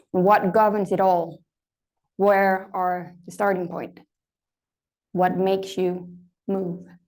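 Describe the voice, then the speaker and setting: A woman's monotone, flat voice at a medium pitch, very slow, with long, frequent pauses and audible room echo. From Denmark. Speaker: lecturer. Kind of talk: lecture. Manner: conversational, uses fillers.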